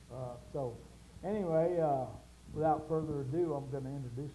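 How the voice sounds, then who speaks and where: Somewhat breathy and fairly high-pitched, a man speaks at a moderate pace with a Southern US accent amid audible room echo. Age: 70s. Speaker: show host. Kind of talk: casual chat.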